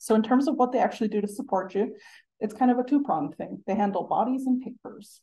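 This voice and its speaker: Somewhat breathy and dark, mellow in tone, the voice races along at a very fast pace. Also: woman. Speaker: presenter. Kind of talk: lecture. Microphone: video call.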